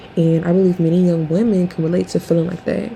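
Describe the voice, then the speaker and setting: Noticeable background noise sits behind a woman whose voice is fairly low. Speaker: commentary vlogger. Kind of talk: casual opinion commentary. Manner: halting, many fillers.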